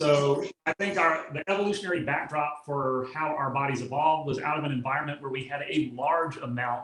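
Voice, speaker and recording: A man with fairly high pitch speaks with fairly even intonation. Room echo can be heard. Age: 60s. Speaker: physician and exercise expert. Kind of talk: interview answer. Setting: video call.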